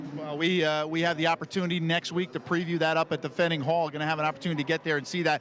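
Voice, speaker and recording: A man talks at a very fast pace with hardly any pauses, his fairly high voice monotone and flat. Background noise is noticeable. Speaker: sports show interviewer. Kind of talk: TV sports interview.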